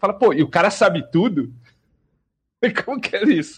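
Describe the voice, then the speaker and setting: A somewhat breathy man at a moderate pace. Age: 40s. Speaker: RPG player. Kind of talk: casual chat.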